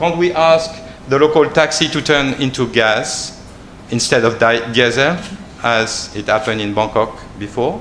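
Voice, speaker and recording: A man with a French accent and medium pitch speaks at a moderate pace with ordinary pitch variation, amid audible room echo and noticeable background noise. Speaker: researcher on a panel. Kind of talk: panel presentation. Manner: halting, many repetitions.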